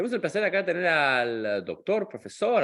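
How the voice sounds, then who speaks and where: A man speaks with an Argentine accent. His pitch swings very widely. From Argentina. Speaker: rabbi and podcast host. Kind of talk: interview podcast. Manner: casual, chatty.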